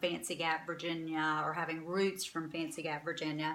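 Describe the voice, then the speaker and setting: This voice belongs to a woman. Her speech carries an American accent. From North Carolina, Winston-Salem. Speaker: vlogger, boutique owner. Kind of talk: casual talk to camera.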